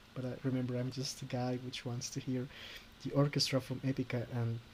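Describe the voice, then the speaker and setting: This man speaks with a non-native accent. His medium-pitched voice is somewhat breathy. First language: Spanish. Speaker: YouTuber, orchestral cover arranger. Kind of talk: tutorial. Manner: halting.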